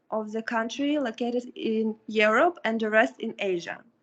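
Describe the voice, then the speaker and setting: Spoken with a Russian accent at a fairly slow pace, the voice shows ordinary pitch variation over a quiet background. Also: woman. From Kazakhstan. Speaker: international student. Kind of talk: audience question in webinar. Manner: halting.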